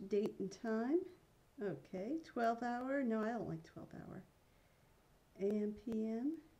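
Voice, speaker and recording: A woman speaks very slowly with long, frequent pauses, her fairly high voice somewhat breathy and dark and mellow in tone. Her intonation is lively, and her loudness swings a lot. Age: 50s. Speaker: vlogger. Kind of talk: casual vlog.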